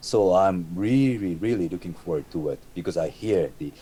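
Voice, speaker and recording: A man speaks with a Japanese accent. He keeps a moderate pace. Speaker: metal musician. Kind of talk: interview. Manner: halting, repeats words.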